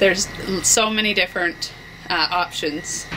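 A woman with a Canadian prairie accent, ordinary pitch variation and a moderate pace, with noticeable background noise. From Canada, rural Alberta (Flagstaff County); Alberta. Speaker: small business owner. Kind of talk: business promotional interview. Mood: friendly, upbeat.

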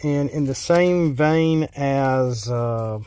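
A man's voice, dry with no echo. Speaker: card game reviewer. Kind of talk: casual card review commentary. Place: car.

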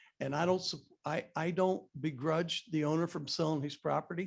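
A man talks at a moderate pace in a fairly high pitch, with ordinary pitch variation. It is an unremarkable speaking voice on a very clean recording with a silent background. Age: 60s. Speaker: public commenter at town council meeting, retired builder. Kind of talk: public comment at council meeting.

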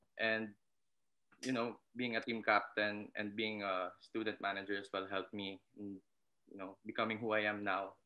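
A man with a Filipino accent at a moderate pace, fairly low in pitch, flat and monotone in intonation. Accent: Filipino English, code-switching with Tagalog. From Philippines (Visayas). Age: 20s. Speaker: basketball coach. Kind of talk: casual interview. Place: home room. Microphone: webcam.

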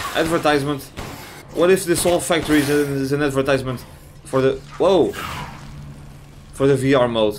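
With audible room echo and noticeable background noise, a man with a fairly high voice speaks at a fairly quick pace and very even loudness, leaving long, frequent pauses. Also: ordinary pitch variation. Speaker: gaming YouTuber. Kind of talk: let's play commentary.

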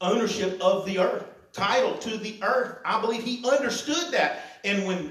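The voice reads in an unforced way. It sounds like an unforced reading voice.

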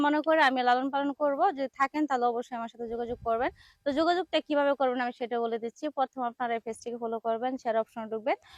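The woman's voice sits high in pitch, with ordinary pitch variation and a dry, close sound with no echo. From Bangladesh, Cumilla. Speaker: woman seeking a marriage partner. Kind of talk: interview.

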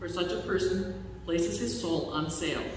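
Strong room echo surrounds a woman's fairly low voice, which keeps a fairly even intonation over light background noise. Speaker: lay scripture reader. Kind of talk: liturgical scripture reading. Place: church. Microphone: podium.

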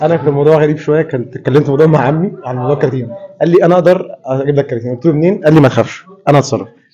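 At a very fast pace, a man speaks with a fairly high pitch, a dark, mellow tone and ordinary pitch variation.

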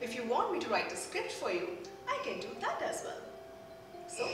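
A woman at a moderate pace with long, frequent pauses, with audible room echo and noticeable background noise. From India (Bengal). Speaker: anchor, voice over artist. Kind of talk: self-promotional talk to camera. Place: studio.

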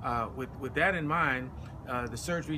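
A man at a moderate pace with ordinary pitch variation, against noticeable background noise. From US South, Atlanta, Georgia. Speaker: military veteran, patient. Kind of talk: testimony. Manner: halting, with fillers. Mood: earnest, concerned. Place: street. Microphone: phone near.

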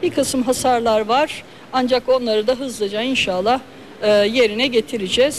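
Moderate pace and ordinary pitch variation over light background noise. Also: woman. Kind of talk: press statement. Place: hall. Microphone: handheld.

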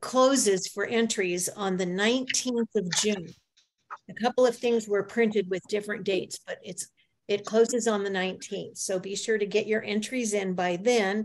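A woman speaks at a moderate pace. Her intonation stays fairly even. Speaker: society president hosting meeting. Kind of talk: meeting announcements. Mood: friendly, welcoming. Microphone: video call.

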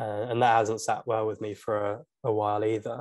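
The background stays quiet. A man talks with a fairly low pitch. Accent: British. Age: 20s. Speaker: YouTuber. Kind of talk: casual chat.

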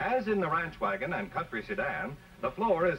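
A male speaker with a high pitch. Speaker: advertising narrator. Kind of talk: commercial voice-over narration.

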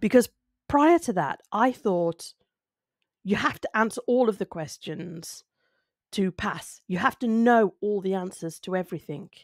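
A woman at a medium pitch with lively intonation and a fairly slow pace, dry with no echo, over a quiet background. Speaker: speaking skills video creator. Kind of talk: solo talk to camera. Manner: conversational, reflective. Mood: thoughtful, calm. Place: home room. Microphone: studio mic.

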